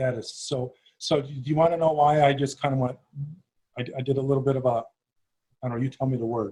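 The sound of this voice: A man with a Chicago accent, medium in pitch, with a dark, mellow tone, a slightly husky edge, little pitch movement and a fast pace.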